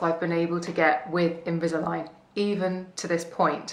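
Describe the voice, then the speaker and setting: There is audible room echo around this woman's voice. She speaks at a fairly slow pace. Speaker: beauty blogger and podcaster. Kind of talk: casual vlog update. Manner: chatty.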